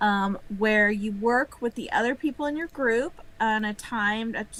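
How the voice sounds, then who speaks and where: Speaking with an American accent, a woman keeps a fairly slow pace and ordinary pitch variation. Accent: Southern accent, stronger when tired. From northern US. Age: 50s. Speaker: game company co-founder. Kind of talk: live interview.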